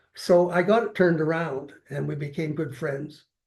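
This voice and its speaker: A man with a Canadian accent speaks at a moderate pace in a somewhat breathy voice with a fairly high pitch. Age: 80s+. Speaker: retired city councillor. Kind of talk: interview. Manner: halting, repeats words.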